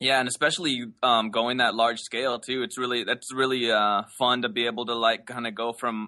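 An American man with an unremarkable speaking voice talks at medium pitch with fairly even intonation. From Los Angeles, US. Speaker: painter. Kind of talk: casual interview. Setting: video call from his studio.

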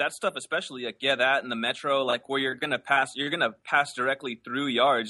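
Here is a man with a plain, everyday voice at a medium pitch. He talks at a fairly quick pace. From Los Angeles, US. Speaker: painter. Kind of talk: casual interview. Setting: video call from his studio.

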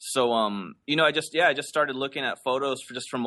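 Here is a man in an American accent, speaking at a moderate pace. It is an ordinary speaking voice with medium pitch. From Los Angeles, US. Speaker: painter. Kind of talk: casual interview. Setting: video call from his studio.

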